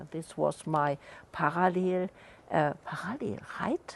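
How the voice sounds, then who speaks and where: Speaking with a non-native accent, the woman keeps to a fairly slow pace. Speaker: artist in conversation at book launch. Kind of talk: discussion. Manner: halting.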